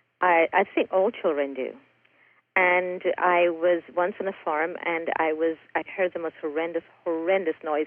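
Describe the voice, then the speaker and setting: A woman speaks at a fairly low pitch and a fairly slow pace. Her intonation is monotone and flat. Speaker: author and raw food chef. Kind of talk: casual interview.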